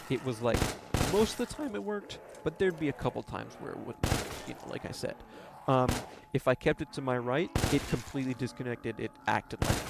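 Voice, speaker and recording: A man talks very fast at a medium pitch, his intonation lively. Noticeable background noise is present. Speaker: gaming YouTuber. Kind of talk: casual gameplay commentary. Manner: soft-spoken; halting, many fillers.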